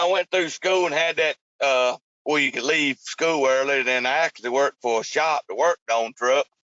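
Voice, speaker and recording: A man with a North Carolina accent, at a moderate pace and a very even loudness. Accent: Southern US (North Carolina). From North Carolina (Burlington). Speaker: truck driver. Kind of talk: casual interview.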